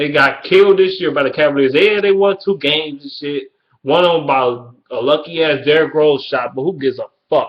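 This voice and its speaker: A man's fairly high, animated voice in a Detroit accent, fairly quick, with ordinary pitch variation. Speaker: sports vlogger. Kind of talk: casual rant.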